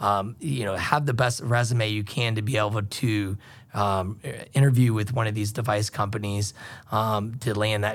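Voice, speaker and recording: At a moderate pace, a somewhat breathy man with a medium pitch keeps his intonation fairly even on a very clean recording with a silent background. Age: 30s. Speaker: medical device sales rep. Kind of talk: interview. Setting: studio. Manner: hesitant, many fillers.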